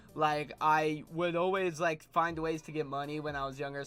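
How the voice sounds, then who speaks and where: The speaker's intonation is monotone and flat, at a moderate pace. Music plays in the background. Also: man. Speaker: YouTuber. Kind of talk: casual storytelling monologue. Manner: halting, repeats words.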